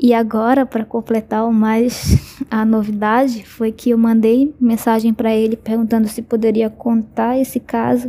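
A woman talks at a fairly slow pace with hardly any pauses. Her intonation is monotone and flat. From Brazil, Belém do Pará. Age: 20s. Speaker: listener sharing a story. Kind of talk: personal testimony.

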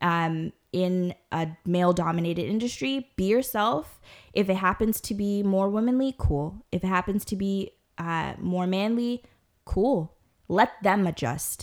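On a very clean recording with a silent background, a woman uses an ordinary speaking voice at medium pitch with ordinary pitch variation. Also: fairly slow pace. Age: 30s. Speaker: podcast guest, small business owner. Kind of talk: casual chat, storytelling.

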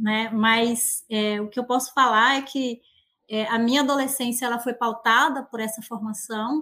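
A woman speaks fairly slowly at a fairly high pitch, her tone bright and sharp and her intonation monotone and flat. The recording is very clean, with a silent background. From Bahia, Brazilian Northeast. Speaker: researcher. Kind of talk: casual chat. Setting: outdoors in the countryside.

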